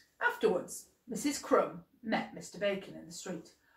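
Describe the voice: Reading aloud, plain and simple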